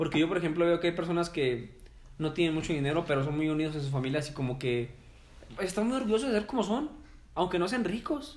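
In a Mexican accent, a man talks very fast at a high pitch with lively intonation. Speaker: teacher. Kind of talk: casual chat.

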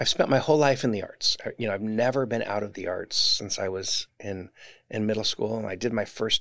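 With an American accent, a man talks at a fairly quick pace on a very clean recording with a silent background. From Southern California, Orange. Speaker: university choir director. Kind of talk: interview.

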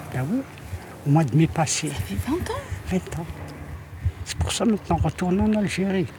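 With noticeable background noise behind her, a woman with a fairly low voice talks at a moderate pace, using long, frequent pauses and very wide pitch swings. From Algeria. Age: 80s+. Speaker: grandmother in a documentary. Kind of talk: documentary interview. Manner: halting.

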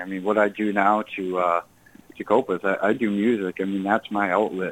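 This man has an American accent and an unremarkable speaking voice. He talks at a moderate pace with a fairly low pitch. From Massachusetts, Burlington. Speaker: musician and actor. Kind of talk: radio interview.

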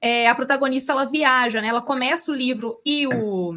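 At a high pitch, a woman talks with ordinary pitch variation. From Belo Horizonte, Brazil. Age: 30s. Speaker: book podcast co-host. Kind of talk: casual chat about books and film.

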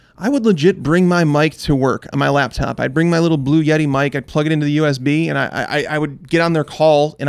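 A plain, everyday voice from a man with an American accent, fairly high pitch, fairly quick pace, hardly any pauses and fairly even intonation, on a very clean recording with a silent background. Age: 30s. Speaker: fantasy football analyst. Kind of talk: casual interview.

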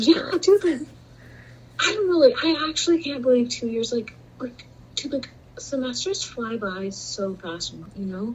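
This woman's voice is high, with very wide pitch swings and big swings in loudness. She takes long, frequent pauses over noticeable background noise. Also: moderate pace. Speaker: podcast co-host, college student. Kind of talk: casual chat. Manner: animated.

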